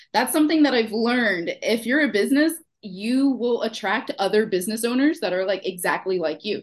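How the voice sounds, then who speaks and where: Against a quiet background, a woman with a slight Houston accent talks at a fairly quick pace in a fairly high pitch with lively intonation. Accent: Houston Texan, slight, comes out when sassy. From Texas, Houston. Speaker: small business owner, former client.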